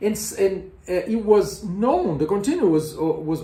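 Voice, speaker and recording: Here a man speaks with a Portuguese accent. His intonation is lively. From Brazil. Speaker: music educator, tenor and conductor. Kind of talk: educational explainer. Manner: slow; halting, with repetitions and fillers.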